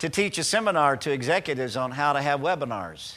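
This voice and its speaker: A man talks at a fairly quick pace with a fairly high pitch. His tone is bright and sharp, and his intonation is lively. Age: 60s. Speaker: pastor. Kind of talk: sermon. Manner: halting.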